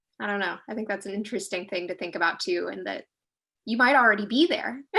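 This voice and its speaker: The speaker goes at a very fast pace with lively intonation, vocal fry, and a bright, sharp tone. The background is quiet. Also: woman, medium pitch for a woman. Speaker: filmmaker. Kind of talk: panel discussion. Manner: casual, many filler words.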